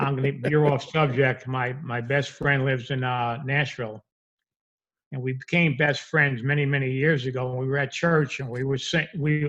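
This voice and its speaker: A man's fairly high voice in a New York accent, monotone and flat, at a moderate pace. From New York, the Bronx. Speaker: repossession industry veteran. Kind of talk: interview.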